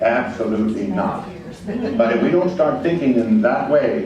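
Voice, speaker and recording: Amid noticeable background noise and audible room echo, a man with a fairly high pitch speaks at a moderate pace, his pitch swinging very widely. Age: 70s. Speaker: veterans organization leader. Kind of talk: public forum comment.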